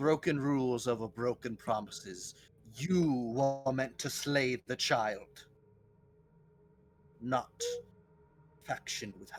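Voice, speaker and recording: A man uses a booming put-on character voice at a medium pitch. He goes at a very slow pace with long, frequent pauses. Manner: menacing, booming.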